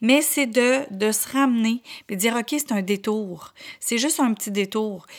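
A woman talks at a fairly slow pace with a Quebec accent and a fairly high pitch. The recording is very clean, with a silent background. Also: ordinary pitch variation. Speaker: podcast host and motivational speaker. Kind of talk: motivational monologue.

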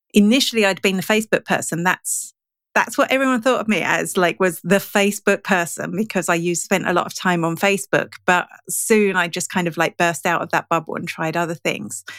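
A woman with an unremarkable speaking voice at medium pitch, fairly quick, with ordinary pitch variation, on a very clean recording with a silent background and a dry, close sound with no echo. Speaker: digital marketing and analytics trainer. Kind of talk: casual interview chat. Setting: podcast interview.

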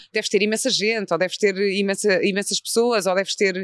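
Fairly high in pitch, a woman talks fairly quickly with ordinary pitch variation. The sound is dry and close with no echo, over a quiet background. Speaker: podcast host. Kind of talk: casual interview chat. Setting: in person at the guest's institute.

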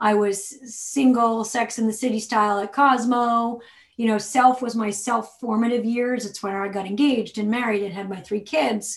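A woman talks with hardly any pauses and fairly even intonation. Her voice is somewhat breathy. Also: moderate pace. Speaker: author and magazine editor. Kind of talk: casual interview.

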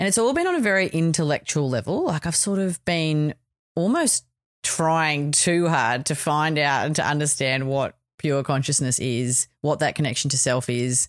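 Speaking with an Australian accent, a woman with a very deep, low pitch talks at a moderate pace with ordinary pitch variation and very even loudness, on a very clean recording with a silent background. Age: 40s. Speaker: podcast host. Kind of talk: personal reflection monologue.

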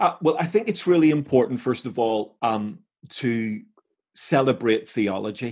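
A man with an ordinary speaking voice talks at a medium pitch and a moderate pace, his intonation lively. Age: 50s. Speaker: theologian and Bible teacher. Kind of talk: interview discussion.

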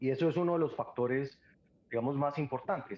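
Moderately paced delivery in an ordinary speaking voice, pitch varying in an ordinary way. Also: man. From Colombia, Cúcuta. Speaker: epidemiologist. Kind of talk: interview.

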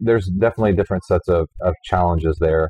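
A man with an American accent, very deep and low-pitched, at a very fast pace with fairly even intonation. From US South, Houston, Texas. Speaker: business executive and entrepreneur. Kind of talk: interview. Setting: in a wine bar.

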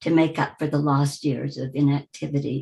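The voice is somewhat breathy, with a dark, mellow tone and an American accent. Its intonation stays monotone and flat. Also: woman. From US Midwest, Wichita, Kansas. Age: 80s+. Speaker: retired woman sharing life story. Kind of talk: personal life-story interview.

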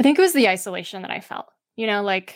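A woman with a medium-pitched voice is heard on a very clean recording with a silent background. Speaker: author. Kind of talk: interview. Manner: fluent.

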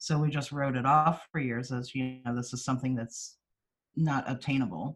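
A woman speaks with an American accent. Her pitch is very deep and low, and her intonation fairly even. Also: moderate pace. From US Midwest, East Central Missouri. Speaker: foster and adoptive parent. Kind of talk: casual interview chat.

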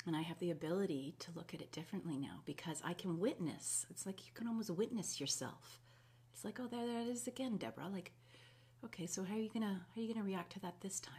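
Someone speaks very fast with a Canadian accent and lively intonation. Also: woman, medium pitch for a woman. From Canada, Winnipeg. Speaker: holistic health practitioner. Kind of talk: live video talk to viewers. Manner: casual, hesitant with many fillers.

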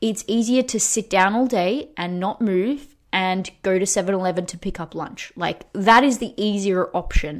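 A plain, everyday voice belongs to a woman speaking at a moderate pace and medium pitch, with ordinary pitch variation. The recording is very clean, the background silent. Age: 30s. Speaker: fitness coach and podcast host. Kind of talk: casual solo podcast talk.

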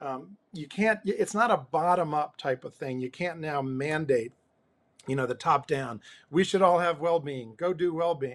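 A man talks in a normal speaking voice at a moderate pace. His pitch is fairly high with ordinary variation, on a very clean recording with a silent background. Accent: American. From New Jersey, near New York City. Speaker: executive coach and former pastor. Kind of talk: interview conversation.

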